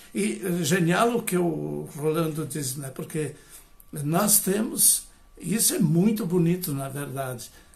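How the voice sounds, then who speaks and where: Audible room echo surrounds a man with a high pitch. He speaks at a very slow pace, with ordinary pitch variation. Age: 70s. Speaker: retired professor and biodanza facilitator. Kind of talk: lecture. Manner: hesitant, many fillers.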